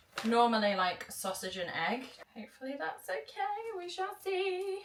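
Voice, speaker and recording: A woman with a British accent and a high voice, speaking fairly slowly with very wide pitch swings over noticeable background noise. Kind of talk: casual vlog talk to camera.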